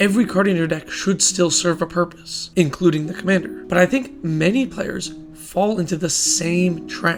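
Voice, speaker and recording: The speech runs with hardly any pauses while music plays in the background. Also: moderate pace. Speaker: trading card game content creator. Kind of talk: casual talk to camera.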